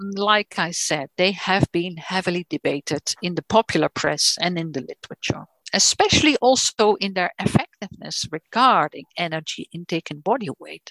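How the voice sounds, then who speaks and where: In a Dutch accent, a woman with a medium pitch talks at a moderate pace with big swings in loudness, recorded with a dry, close sound and no echo. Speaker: nutrition professor. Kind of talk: lecture. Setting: video call. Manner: halting.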